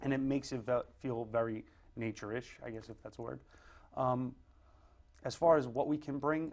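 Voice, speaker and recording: Pausing long and often, a man at medium pitch speaks at a moderate pace with fairly even intonation and big swings in loudness. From Brooklyn, New York (Greenpoint). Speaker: tattoo artist and shop owner. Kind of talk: interview. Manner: casual, with many fillers.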